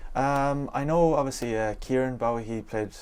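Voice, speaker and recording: Someone with an Irish accent talks at a very fast pace. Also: man. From Ireland. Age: 20s. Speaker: professional footballer. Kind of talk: interview. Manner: halting, many fillers.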